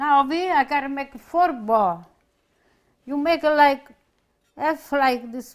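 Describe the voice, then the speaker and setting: A woman with a high pitch speaks at a very slow pace with an Italian accent over a quiet background. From Italy. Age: 80s+. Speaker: home cook. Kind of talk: cooking demonstration. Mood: warm, cheerful. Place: kitchen.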